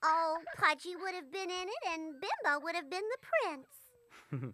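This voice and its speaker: The speaker uses a cartoonish character voice. The pace is moderate. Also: female-sounding voice, extremely high pitch for a woman. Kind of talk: 1930s cartoon boop-girl voice. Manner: cute, coquettish.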